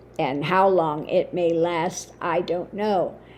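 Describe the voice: A woman's croaky, fairly low-pitched voice with a slightly mellow tone moves at a slow pace with fairly even intonation.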